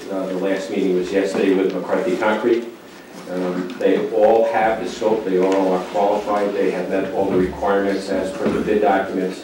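Over noticeable background noise and audible room echo, a man talks at a moderate pace in a monotone, flat intonation. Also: fairly low pitch for a man. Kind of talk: formal presentation to a board. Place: meeting room.

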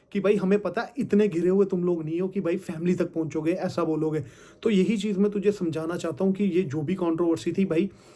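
A man with a high voice and a dark, mellow tone speaks at a moderate pace with fairly even intonation. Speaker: content creator replying to a rival. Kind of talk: casual vlog chat. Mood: firm, explaining, calm. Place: home room. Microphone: phone near.

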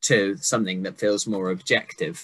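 A man talks at a moderate pace with a bright, sharp tone. The background is quiet. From England, working-class. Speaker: poet and interviewer; poet, interviewer. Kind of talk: casual interview. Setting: video call. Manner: jokey. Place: home room. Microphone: video call.

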